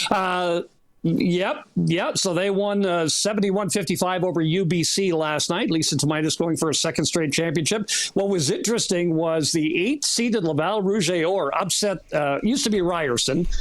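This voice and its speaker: Over noticeable background noise, a man with a high pitch talks at a moderate pace, his loudness very even and his pitch variation ordinary. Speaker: play-by-play sports broadcaster. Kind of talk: radio interview answer.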